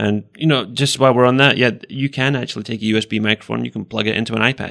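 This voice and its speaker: The voice has fairly even intonation and a dry, close sound with no echo. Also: man. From Scotland. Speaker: podcast co-host and education technology specialist. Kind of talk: casual chat podcast.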